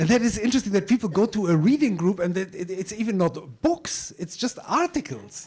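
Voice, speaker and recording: With a German accent, a man talks at a moderate pace with lively intonation. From Germany. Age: 50s. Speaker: journalist and migration researcher. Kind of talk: panel discussion. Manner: halting.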